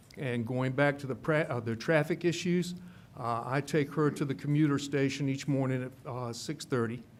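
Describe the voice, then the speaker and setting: Keeping fairly even intonation, a man talks at a moderate pace in a voice fairly high for a man. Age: 60s. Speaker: public commenter at county meeting. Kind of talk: public comment speech. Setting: public meeting. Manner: halting, many fillers.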